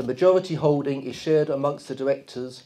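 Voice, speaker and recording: With a London accent, a man talks using ordinary pitch variation. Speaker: football club chairman. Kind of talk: press conference statement. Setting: press conference. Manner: formal.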